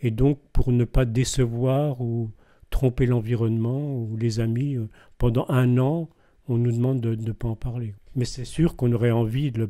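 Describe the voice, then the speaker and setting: Over a very clean recording with a silent background, a man speaks fairly slowly at a medium pitch. His tone is dark and mellow, his intonation fairly even. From eastern France (Belfort). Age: 70s. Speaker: deacon. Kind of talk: testimony. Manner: hesitant, with frequent fillers.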